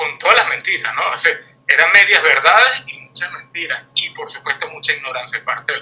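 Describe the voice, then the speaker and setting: Fairly quick pace with big swings in loudness. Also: man. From Venezuela. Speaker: guest commentator. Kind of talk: interview discussion. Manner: hesitant, many fillers.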